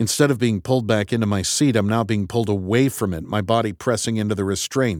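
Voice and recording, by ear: The pitch varies in an ordinary way as this person reads aloud in a natural voice.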